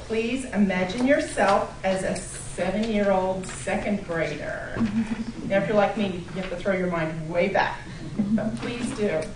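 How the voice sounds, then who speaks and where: Fairly slow speech with lively intonation amid noticeable background noise. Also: woman, medium pitch for a woman. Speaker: club meeting introducer. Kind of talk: speech introduction.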